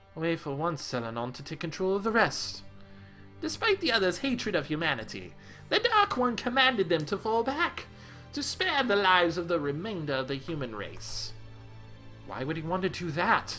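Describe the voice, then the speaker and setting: Clear music plays in the background as a put-on character voice speaks at a moderate pace in a middle pitch. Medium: solo performance.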